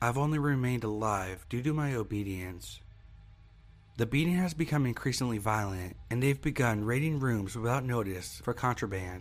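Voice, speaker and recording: Over music in the background, a man speaks at medium pitch and a moderate pace, his intonation lively and his loudness very even. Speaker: horror story narrator. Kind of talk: scripted horror story narration, read aloud. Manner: grave, measured, somber.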